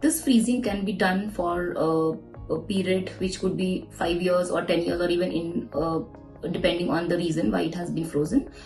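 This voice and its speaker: Faint music plays behind a woman whose fairly low voice moves at a moderate pace with ordinary pitch variation. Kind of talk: explainer interview answer. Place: office.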